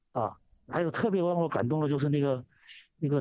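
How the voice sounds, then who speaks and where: A man at a fairly quick pace. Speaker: radio caller. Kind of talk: phone-in commentary. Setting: phone call. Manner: halting, many fillers and repetitions.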